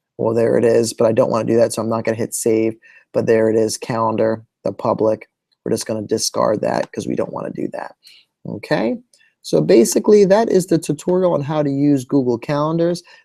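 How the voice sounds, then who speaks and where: This man talks at a fairly quick pace. The sound is dry and close, with no echo. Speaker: technology integration educator. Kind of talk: tutorial. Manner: fast.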